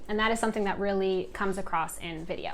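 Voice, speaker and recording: Very fast delivery with ordinary pitch variation. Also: woman. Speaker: video coach. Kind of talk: tutorial. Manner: animated.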